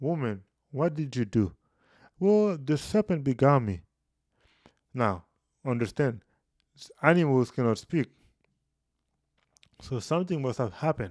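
A man with a slightly mellow tone speaks at a fairly slow pace, leaving long, frequent pauses.

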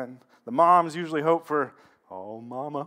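The speaker is a man. Little can be heard behind him. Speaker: pastor. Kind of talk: sermon with prayer. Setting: church. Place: church.

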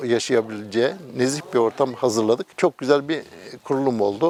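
A man's moderate-paced speech, with ordinary pitch variation, is heard through noticeable background noise. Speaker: Red Crescent branch president. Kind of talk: interview statement.

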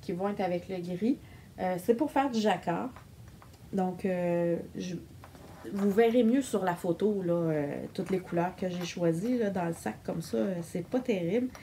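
Over light background noise, a woman speaks at a very slow pace with lively intonation and long, frequent pauses. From Quebec. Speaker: knitting vlogger. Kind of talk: casual video monologue. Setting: home recording on camera. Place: home room. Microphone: phone near.

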